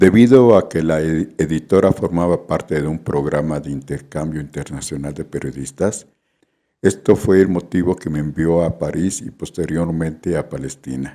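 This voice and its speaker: This man's voice is very deep and low, with vocal fry and a dark, mellow tone. He talks at a moderate pace with ordinary pitch variation. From Mexico City. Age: 70s. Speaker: photojournalist. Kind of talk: scripted narration.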